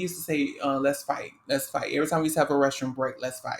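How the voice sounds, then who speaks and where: The speaker has a New Orleans accent. The pace is very fast. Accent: New Orleans Southern US. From US South, New Orleans. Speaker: podcast co-host. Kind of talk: casual chat. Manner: halting, many fillers.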